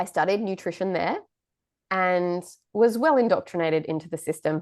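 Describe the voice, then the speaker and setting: A woman speaks with an Australian accent at medium pitch and a moderate pace. Her pitch variation is ordinary, and the background is quiet. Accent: Australian-tinged. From England. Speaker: podcast host, nutritionist. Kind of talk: casual chat.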